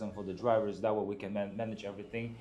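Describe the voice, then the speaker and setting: A man with a dark, mellow tone speaks at a very fast pace. Audible room echo surrounds his voice. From outside the US. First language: not English. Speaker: truck dispatcher. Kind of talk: casual interview chat.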